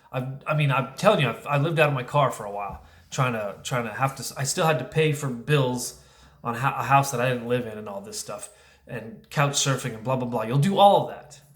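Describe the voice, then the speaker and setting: A man at a fairly quick pace, with big swings in loudness and audible room echo. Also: medium pitch for a man, ordinary pitch variation. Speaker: divorced father vlogger. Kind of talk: casual monologue vlog.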